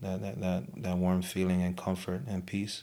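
A man with a Hawaiian accent, a very deep, low pitch and ordinary pitch variation. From Hawaii, Oahu (Samoan). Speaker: guest sharing faith testimony. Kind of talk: testimony. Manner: halting.

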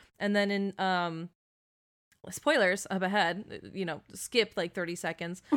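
An unremarkable speaking voice from a woman, medium in pitch, at a fairly slow pace with fairly even intonation. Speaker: podcast co-host. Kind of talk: casual chat. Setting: home recording with AirPods.

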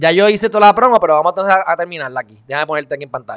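A man with a high pitch and a bright, sharp tone, ordinary pitch variation, on a very clean recording with a silent background and a dry, close sound with no echo. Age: 20s. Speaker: online talk show host. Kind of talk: casual interview.

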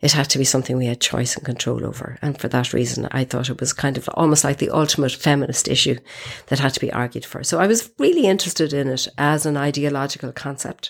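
Talking very fast with an Irish accent, a woman uses a very deep, low pitch and fairly even intonation. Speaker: feminist activist. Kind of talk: interview. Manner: halting, repeats words.

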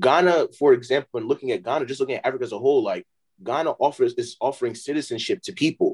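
A man talks at a very fast pace with an American accent. The sound is dry and close, with no echo. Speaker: podcast co-host. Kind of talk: casual chat. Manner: animated.

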